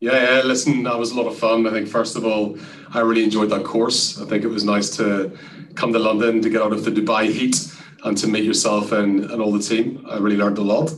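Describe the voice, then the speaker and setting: A man's medium-pitched voice with an Irish accent, fairly quick and monotone, with audible room echo and noticeable background noise. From Ireland. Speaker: sales executive. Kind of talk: interview.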